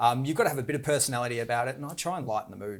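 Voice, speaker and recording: The speaker has an Australian accent, captured in a very clean recording with a silent background. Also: man. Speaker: auctioneer. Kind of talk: interview. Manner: fast.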